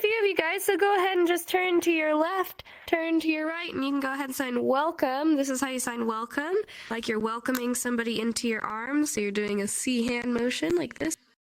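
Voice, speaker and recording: Amid noticeable background noise, a woman talks at a fairly quick pace with a high pitch and lively intonation. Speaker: sign language teacher. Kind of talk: lecture. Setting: VR chat room.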